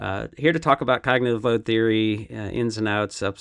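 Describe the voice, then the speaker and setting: With an American accent, a man with a normal speaking voice talks fairly quickly at a fairly low pitch. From United States. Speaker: podcast host. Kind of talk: podcast intro and moderated panel discussion. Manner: casual with frequent fillers.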